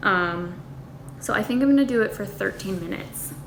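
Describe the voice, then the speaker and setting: Speech from a woman amid audible room echo and noticeable background noise. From United States. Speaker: lifestyle vlogger. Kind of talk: casual vlog tutorial. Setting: home kitchen. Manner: chatty, informal.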